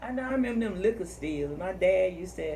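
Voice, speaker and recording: There is noticeable background noise throughout. Over it, a woman talks. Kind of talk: casual interview questions.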